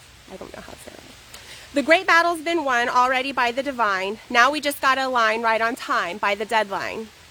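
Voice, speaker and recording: A woman talks at a fairly quick pace with high pitch, lively intonation and big swings in loudness. Background noise is noticeable. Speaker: poet. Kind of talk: poetry reading. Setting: outdoors. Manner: fast.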